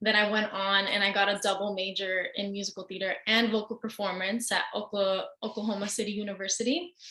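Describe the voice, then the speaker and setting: A woman with an American accent speaks at a moderate pace in a medium pitch, her bright, sharp tone delivered with monotone, flat intonation. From US Southwest, Santa Fe, New Mexico. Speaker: opera singer. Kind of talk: interview.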